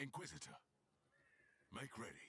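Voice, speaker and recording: A man speaks in a put-on character voice. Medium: video game. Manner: stern, authoritative.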